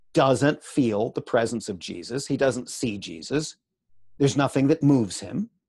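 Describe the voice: A quiet background behind plain reading aloud.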